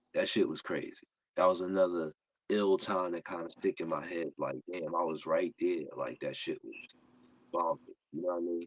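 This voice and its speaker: Male speech at a moderate pace, the sound dry and close without any echo. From New York, Brooklyn. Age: 50s. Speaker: barber. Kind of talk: casual interview.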